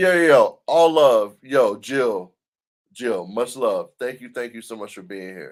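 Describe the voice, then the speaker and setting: Recorded very cleanly against a silent background, a man speaks at a very slow pace with a Southern US accent. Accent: Southern US accent, noticeable. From US South. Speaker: DJ and livestream host. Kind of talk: casual livestream chat. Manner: animated.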